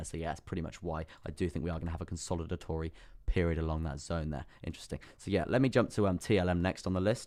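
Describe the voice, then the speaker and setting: Putting on a character voice, a man speaks raspy and very deep, low, at a very fast pace. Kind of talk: analytical, trading commentary. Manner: speaking very fast.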